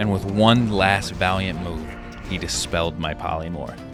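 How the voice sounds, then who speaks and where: A man's very deep, low voice with lively intonation at a moderate pace, with music in the background. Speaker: gaming YouTuber. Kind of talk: gameplay story narration.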